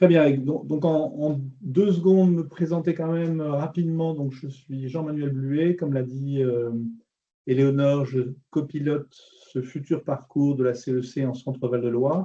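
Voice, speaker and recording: A man speaks slowly-ish, at a fairly slow pace, with a dark, mellow tone and fairly high pitch. His intonation stays fairly even. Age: 60s. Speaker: business transition advisor. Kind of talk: webinar presentation.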